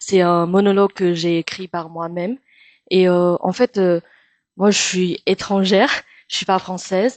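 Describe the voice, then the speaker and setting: Over a quiet background, a woman with a Chinese accent speaks in a fairly low pitch with fairly even intonation. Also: dry, close sound with no echo. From Taiwan. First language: Mandarin (speaking French). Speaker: actress and singer. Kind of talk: interview. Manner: halting with many hesitations.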